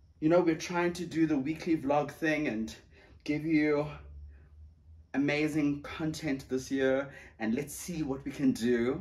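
This man talks at a very slow pace. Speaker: vlogger. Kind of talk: casual vlog chat. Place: home room. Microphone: camera far.

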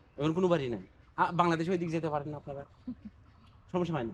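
A man speaks with a high pitch. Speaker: travel vlogger. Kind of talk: vlog narration and street interviews. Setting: outdoors at the border.

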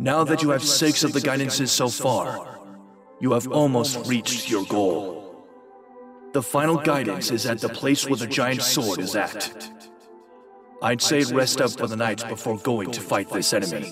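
Over clear music in the background, a man uses a cartoonish character voice at a medium pitch and a moderate pace.

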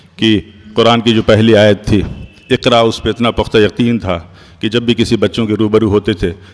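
A man talks with a fairly low pitch. Noticeable background noise runs behind him. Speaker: medical doctor. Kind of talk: memorial tribute speech.

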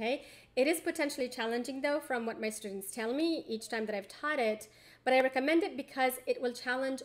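A woman's fairly quick delivery with ordinary pitch variation. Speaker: assistant professor of religion. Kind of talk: educational book discussion to camera. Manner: fast. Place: home room. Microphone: webcam.

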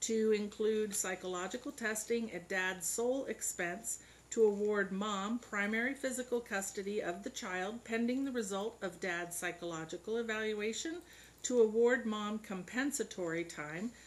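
Moderate-paced speech from a woman, ordinary pitch variation throughout. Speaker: family court judge. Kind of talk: reading case summary. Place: hall.

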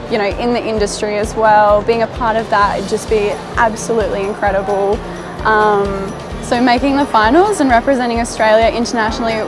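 A woman at a fairly quick pace with fairly even intonation, over clear music in the background. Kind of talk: interview answer. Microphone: lapel.

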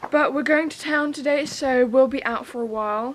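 Over light background noise, a woman with a high pitch talks at a fairly slow pace with ordinary pitch variation. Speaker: home renovation vlogger. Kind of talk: casual vlog chat. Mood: cheerful, a bit squinting. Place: farm. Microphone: camera far.

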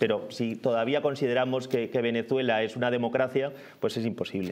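A man with an Aragonese accent speaks at a medium pitch and a moderate pace, his intonation monotone and flat. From Zaragoza, Spain; Spain. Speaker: guest commentator. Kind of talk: casual news discussion. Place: studio. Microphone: lapel.

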